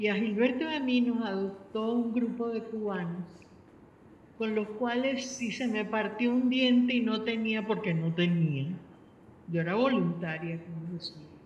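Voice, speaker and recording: A woman with a fairly high pitch and ordinary pitch variation speaks at a fairly slow pace, with audible room echo and noticeable background noise. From Venezuela. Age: 70s. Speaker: panel speaker. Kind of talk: panel discussion.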